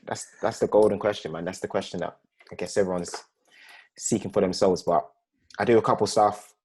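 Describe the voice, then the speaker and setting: A man speaks very fast in a South London accent, at a fairly low pitch. His intonation is monotone and flat, broken by long, frequent pauses. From South London, Peckham. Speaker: filmmaker. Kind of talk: casual chat. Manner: relaxed, mellow.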